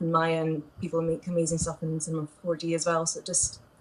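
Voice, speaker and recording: A somewhat breathy woman's voice with a Scottish accent, at a fairly quick pace. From Scotland. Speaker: medical illustrator and animator. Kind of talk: live stream interview. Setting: live video stream.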